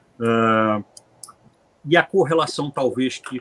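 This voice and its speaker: A man speaks at medium pitch with ordinary pitch variation. The sound is dry and close, with no echo. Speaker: lawyer, panelist on cooperative law. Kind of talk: panel presentation. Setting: conference panel. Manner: hesitant, frequent filler 'é'.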